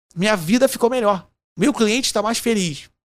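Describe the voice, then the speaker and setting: A man speaks in a Carioca accent with ordinary pitch variation. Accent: Carioca (Rio). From Rio de Janeiro, Brazil. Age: 50s. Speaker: innovation consultant. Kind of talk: casual interview chat. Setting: studio.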